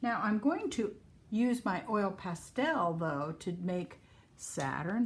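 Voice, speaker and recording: A woman speaks at a fairly slow pace with very wide pitch swings. Vocal fry runs through her voice. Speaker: art teacher. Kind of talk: tutorial.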